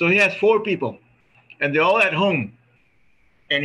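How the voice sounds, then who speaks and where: A man speaks with a Spanish accent. His tone is bright and sharp. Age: 50s. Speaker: reunion organizer; reunion host. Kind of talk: casual chat. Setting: video call. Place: home room. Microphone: video call.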